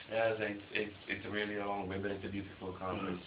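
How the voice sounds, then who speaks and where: A man's flat, monotone delivery at a fairly quick pace over noticeable background noise. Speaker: interviewer. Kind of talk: casual conversation.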